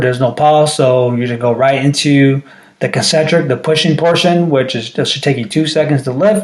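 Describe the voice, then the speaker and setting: Noticeable background noise runs through the clip. A man talks at a moderate pace. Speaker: strength coach. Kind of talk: tutorial. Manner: casual, frequent filler checks.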